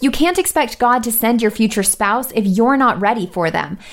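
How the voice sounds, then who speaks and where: A woman speaks at a moderate pace with a fairly high pitch and lively intonation. Hers is an unremarkable speaking voice. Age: 20s. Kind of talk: radio show with devotional talk.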